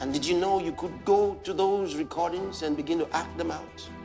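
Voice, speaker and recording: With music in the background, a man speaks fairly slowly in a Nigerian accent. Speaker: pastor. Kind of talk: sermon.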